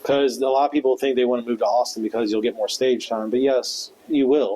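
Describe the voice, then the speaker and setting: At a fairly quick pace, a man with a medium-pitched voice talks in a flat monotone at very even loudness over noticeable background noise. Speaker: stand-up comedian. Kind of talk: casual chat.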